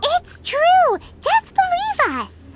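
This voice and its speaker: Squeaky and at an extremely high pitch, the speaker performs a put-on character voice. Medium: video game. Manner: energetic, chirpy.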